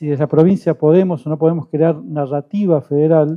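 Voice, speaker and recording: At a moderate pace, a man uses a normal speaking voice, pitched fairly high with fairly even intonation. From southern Santa Fe, Argentina. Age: 50s. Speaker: panelist on communication. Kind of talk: panel talk.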